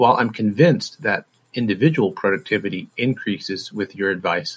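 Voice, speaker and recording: In an American accent, a man speaks at a moderate pace with a fairly low pitch and ordinary pitch variation, an ordinary speaking voice against a quiet background. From Massachusetts. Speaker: software help desk engineer. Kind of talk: recorded listener question.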